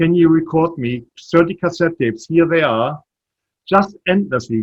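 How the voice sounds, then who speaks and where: With a slight German accent, a man speaks at a moderate pace in a high voice with lively intonation. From Germany. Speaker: startup CEO. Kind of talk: interview.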